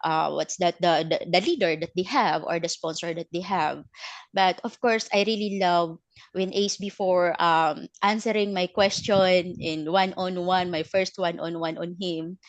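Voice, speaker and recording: In a Filipino accent, a woman speaks at a moderate pace and medium pitch with fairly even intonation over a quiet background. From Philippines. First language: Filipino language. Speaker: network marketing team leader. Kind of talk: testimony. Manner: halting, many fillers.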